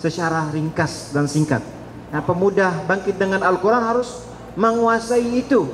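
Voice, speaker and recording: A voice with lively intonation at a moderate pace, heard over noticeable background noise and audible room echo. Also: man. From Saudi Arabia (Mecca). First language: Arabic (speaking Indonesian). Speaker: Islamic preacher. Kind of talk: religious lecture to students. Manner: interactive, asks audience questions.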